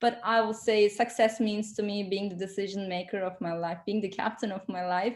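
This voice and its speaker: Speaking with a non-native accent, a woman holds a medium pitch in a flat monotone, in a very clean recording with a silent background. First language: not English. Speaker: entrepreneur and consultant. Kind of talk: interview. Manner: halting, many fillers.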